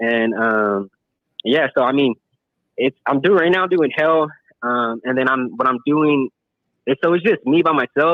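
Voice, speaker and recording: A man with a fairly high pitch speaks at a very even loudness, his pitch varying in an ordinary way. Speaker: paintless dent repair technician. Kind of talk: casual chat. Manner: fast.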